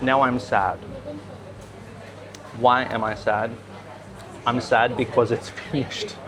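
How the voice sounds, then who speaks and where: At a fairly slow pace and with ordinary pitch variation, a man speaks through noticeable background noise. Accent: Australian. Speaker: English teacher. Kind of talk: English-learning vlog narration. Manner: slow, clear.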